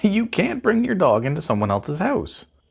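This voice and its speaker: The pace is moderate. The speaker uses a put-on character voice. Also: man, high pitch for a man. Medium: comedy sketch. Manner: dry, sarcastic, deadpan.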